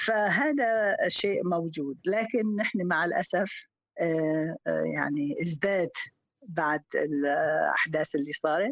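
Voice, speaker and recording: A woman with a fairly low pitch speaks very slowly, with lively intonation and very even loudness. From Syria. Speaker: teacher. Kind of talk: casual chat.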